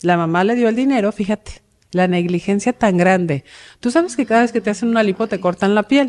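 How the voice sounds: This woman talks at a fairly quick pace with a slightly mellow tone. Her pitch is medium, with ordinary pitch variation.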